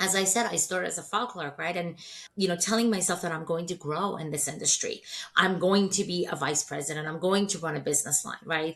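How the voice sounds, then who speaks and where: Her pitch fairly low with ordinary variation, a woman speaks at a very fast pace. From Iran/Turkey (Persian-Turkish), moved to US at 13. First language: not English (English is third language). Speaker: healthcare staffing executive. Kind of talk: podcast interview.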